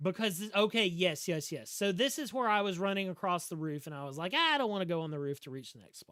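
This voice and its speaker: With a Southern US accent, a man talks at a high pitch, using lively intonation and an animated tone. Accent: Southern drawl. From US South. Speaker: video game streamer. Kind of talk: live gameplay commentary. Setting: livestream. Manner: slurred speech.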